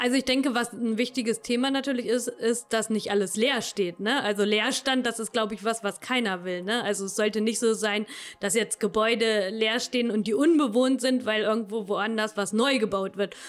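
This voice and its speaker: A woman with a plain, everyday voice and a fairly high pitch speaks at a moderate pace with fairly even intonation and hardly any pauses, on a very clean recording with a silent background. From Lower Saxony, Königslutter area. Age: 30s. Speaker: agricultural scientist. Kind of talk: interview.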